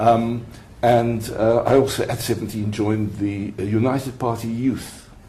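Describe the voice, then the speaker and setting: With audible room echo around him, a man talks at a fairly low pitch and with fairly even intonation. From South Africa. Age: 70s. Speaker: retired mediator and lawyer. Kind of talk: interview. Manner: halting.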